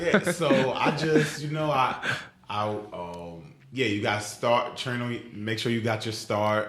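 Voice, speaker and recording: Over noticeable background noise and audible room echo, a man speaks at a very slow pace. His medium-pitched voice has lively intonation. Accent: New York. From Queens, New York City. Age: 20s. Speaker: football player. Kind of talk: interview. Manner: casual.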